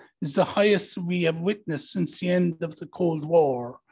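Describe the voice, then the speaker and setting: A man speaks in an Irish accent. His pitch is high, with fairly even intonation. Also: quiet background. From Ireland. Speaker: diplomat; panelist. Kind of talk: panel talk. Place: hall. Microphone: handheld.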